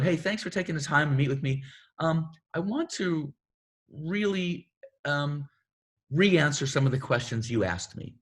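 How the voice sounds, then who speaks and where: In a quiet background, a man's somewhat breathy voice sits at a fairly high pitch with ordinary pitch variation. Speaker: themed entertainment creative executive. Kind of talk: career advice panel. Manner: fast.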